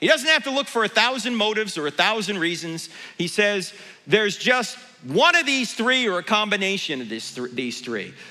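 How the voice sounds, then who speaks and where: Noticeable background noise sits behind a man with a raised, projected voice and a high pitch. His tone is animated, with very wide pitch swings at a moderate pace. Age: 60s. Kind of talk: conference talk to church audience. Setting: church stage with audience.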